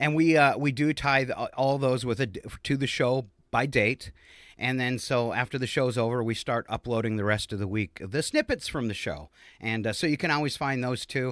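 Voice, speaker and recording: A man uses a plain, everyday voice at a moderate pace with ordinary pitch variation, recorded very cleanly against a silent background. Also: medium pitch for a man. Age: 50s. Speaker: comedy show host. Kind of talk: casual comedic chat. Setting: live video stream.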